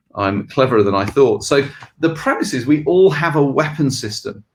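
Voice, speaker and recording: In an English accent, a man talks at a fairly quick pace with lively intonation. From England. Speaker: leadership consultancy co-founder. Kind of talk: video podcast discussion.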